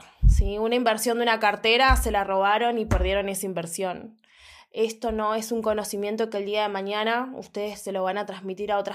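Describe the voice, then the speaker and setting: Delivered in a monotone, flat intonation, the talking goes along at a fairly quick pace. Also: woman. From Argentina, Buenos Aires. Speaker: eyelash academy owner. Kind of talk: casual chat.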